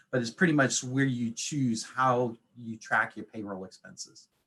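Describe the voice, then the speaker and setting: A man with an American accent. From New England. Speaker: accountant. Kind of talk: webinar presentation. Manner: fast; lots of fillers.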